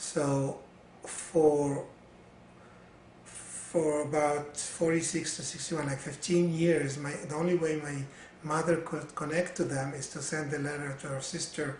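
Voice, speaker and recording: With an Arabic accent, the speaker talks at a fairly slow pace in a monotone, flat delivery over noticeable background noise. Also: man. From Syria and Lebanon. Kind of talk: interview answer. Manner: hesitant, many fillers.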